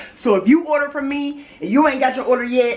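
Against light background noise, a woman speaks at a fairly quick pace with a high pitch. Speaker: mom vlogger. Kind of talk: casual vlog chat. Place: home room. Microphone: phone near.

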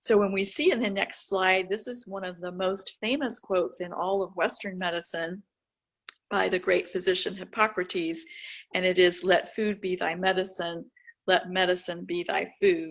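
The background is quiet. The intonation stays fairly even. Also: woman, moderate pace. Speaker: presenter. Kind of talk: lecture.

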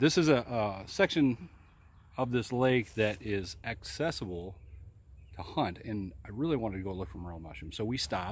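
A man in a normal speaking voice, fairly low-pitched, at a moderate pace with big swings in loudness, in a dry sound with no echo. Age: 40s. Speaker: outdoors vlogger. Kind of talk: casual vlog narration. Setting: outdoors. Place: forest. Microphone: phone near.

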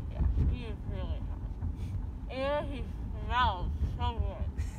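Loud background noise fills the clip. A woman speaks, the sound dry with no echo. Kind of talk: casual rambling chat. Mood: groggy, silly after anesthesia. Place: car. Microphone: phone near.

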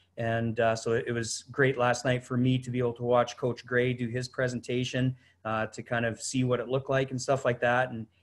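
With hardly any pauses, a man talks at a fairly quick pace in monotone, flat intonation. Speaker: football head coach presenter. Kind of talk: lecture. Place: office. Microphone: webcam.

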